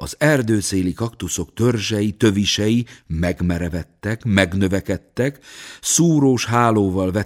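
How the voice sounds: The pitch shifts normally throughout. The voice is a natural reading voice.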